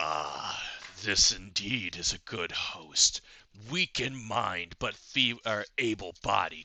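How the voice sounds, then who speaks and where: A man's put-on character voice at a medium pitch and a fairly slow pace. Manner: archaic, sinister, theatrical.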